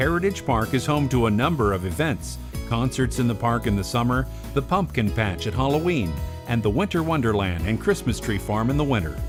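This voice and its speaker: Music plays behind a man speaking at a fairly quick pace and a medium pitch. His loudness stays very even while his pitch swings very widely. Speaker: voice actor. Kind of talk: documentary narration.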